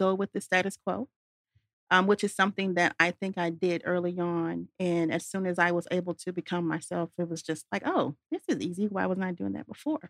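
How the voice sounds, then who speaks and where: A woman with a normal speaking voice talks at a moderate pace in a medium pitch, the sound dry and close with no echo. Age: young. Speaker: golf business founder. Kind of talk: interview. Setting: studio.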